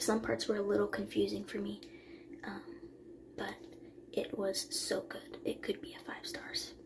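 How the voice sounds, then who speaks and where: Quiet and at a moderate pace, a woman talks with long, frequent pauses, audible room echo and noticeable background noise. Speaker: book vlogger. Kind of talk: casual vlog talk. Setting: bathroom at night. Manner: quiet, hushed; hesitant with fillers.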